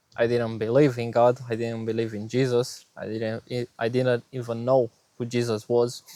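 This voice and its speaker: A man speaks with a Romanian accent in a monotone, flat intonation. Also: medium pitch for a man, moderate pace. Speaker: vlogger sharing faith story. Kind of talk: personal testimony. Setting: outdoors. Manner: hesitant, many fillers.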